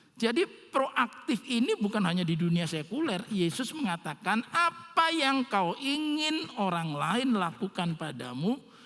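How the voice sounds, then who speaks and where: The speaker's pitch swings very widely at a fairly slow pace. Noticeable background noise is present. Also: man. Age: 60s. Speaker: pastor. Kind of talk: sermon. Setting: church online service. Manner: casual, conversational.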